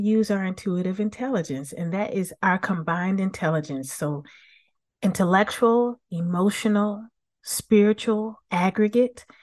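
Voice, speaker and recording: Against a quiet background, a woman with an unremarkable speaking voice talks at a moderate pace with ordinary pitch variation. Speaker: business coach and author. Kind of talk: interview conversation. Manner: warm, positive.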